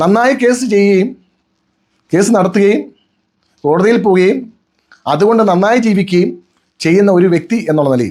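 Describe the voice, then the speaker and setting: At a high pitch, a man speaks with ordinary pitch variation and very even loudness. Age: 50s. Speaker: lawyer. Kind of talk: personal video statement.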